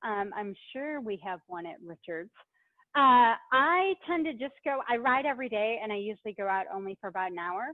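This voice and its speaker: Her pitch swings very widely as the woman talks at a moderate pace. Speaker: cycling advocacy staff, webinar host. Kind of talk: webinar Q&A. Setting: online webinar from a bike shop. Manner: loud; casual, filler-heavy.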